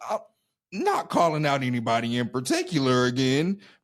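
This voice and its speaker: The pitch sits in the middle range. It's a man talking in a Southern US accent. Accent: Southern US twang. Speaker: musician and entrepreneur. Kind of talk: casual podcast conversation.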